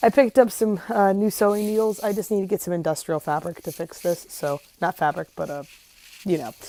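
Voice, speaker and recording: Quietly and at a fairly quick pace, a woman speaks with ordinary pitch variation. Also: medium pitch for a woman. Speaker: vlogger. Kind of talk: casual video diary.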